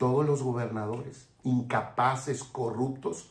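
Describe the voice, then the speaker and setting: Noticeable background noise and audible room echo surround a man speaking at a medium pitch. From Mexico. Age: 60s. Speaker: political commentator. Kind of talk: political commentary monologue. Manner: impassioned.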